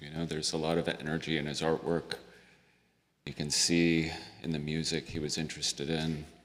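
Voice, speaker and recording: A soft-spoken man's very deep, low voice in monotone, flat intonation at a moderate pace. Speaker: hospital chaplain. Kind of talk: guided meditation. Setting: memorial service.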